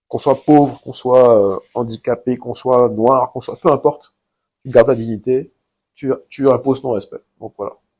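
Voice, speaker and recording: At a moderate pace, a man speaks at medium pitch in a dark, mellow tone, keeping his intonation fairly even while his loudness swings widely. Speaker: entrepreneur. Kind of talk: interview. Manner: hesitant.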